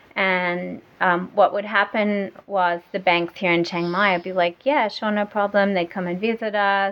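A woman is speaking. She talks with an Australian accent. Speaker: e-commerce entrepreneur. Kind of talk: casual interview.

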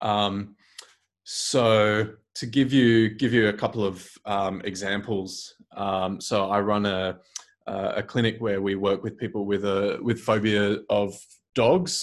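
A man speaking very slowly in a monotone, flat delivery, in a very clean recording with a silent background. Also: fairly low pitch for a man. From Singapore. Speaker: psychologist. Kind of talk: interview. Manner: hesitant, many fillers.

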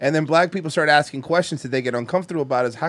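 A man speaks with an American accent, his voice fairly high. His tone is animated, with ordinary pitch variation. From Florida. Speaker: podcast host. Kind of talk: casual comedic banter. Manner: profane, animated.

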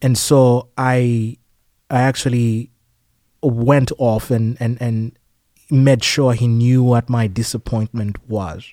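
Very slowly and with fairly even intonation, a man speaks at medium pitch in a dark, mellow tone that sounds dry and close with no echo. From Uganda. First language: a Ugandan language. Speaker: healthcare operations director. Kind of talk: interview conversation. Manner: halting, with many fillers.

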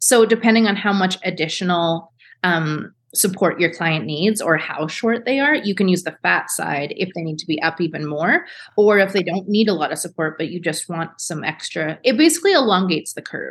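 At a moderate pace, a woman with a medium pitch and ordinary pitch variation uses an unremarkable speaking voice over a quiet background. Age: 30s. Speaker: beauty business founder. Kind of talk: casual chat.

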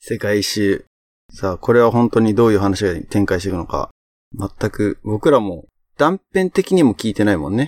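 The recording is very clean, with a silent background and a dry, close sound with no echo, as a man with an unremarkable speaking voice and a fairly low pitch talks at a moderate pace with ordinary pitch variation. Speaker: podcast host. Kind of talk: casual chat.

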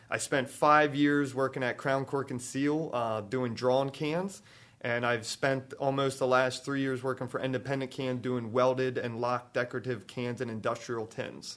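On a very clean recording with a silent background, a man with a Baltimore accent speaks at a moderate pace and medium pitch, with fairly even intonation and hardly any pauses. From Baltimore, Maryland.

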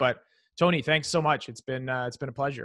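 A man speaks at medium pitch with ordinary pitch variation. It is a normal speaking voice. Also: very clean recording, silent background. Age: 30s. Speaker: real estate investor. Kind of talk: interview.

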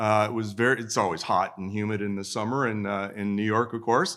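In a bright, sharp tone, a man with an American accent talks at a fairly quick pace on a very clean recording with a silent background. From Minnesota. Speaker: military historian, retired army colonel. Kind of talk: panel talk. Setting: stage with live audience.

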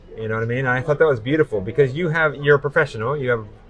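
A man speaks very fast at a medium pitch with ordinary pitch variation, music playing in the background. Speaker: podcast host. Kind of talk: casual interview.

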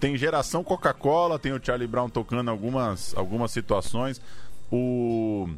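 Speaking at a fairly slow pace, a man uses medium pitch with ordinary pitch variation. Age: 30s. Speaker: podcast producer. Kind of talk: casual chat.

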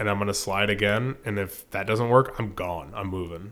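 This is a normal speaking voice with an American accent at a moderate pace. The intonation is fairly even, and the recording is very clean with a silent background. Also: man. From Florida, Sarasota. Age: 30s. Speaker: fishing guide. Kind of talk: casual chat.

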